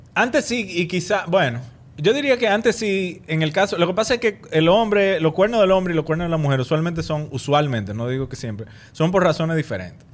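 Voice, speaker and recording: Talking at a fairly quick pace, a man pitches high, with very wide pitch swings. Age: 30s. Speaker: actor and comedy podcaster. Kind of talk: casual chat.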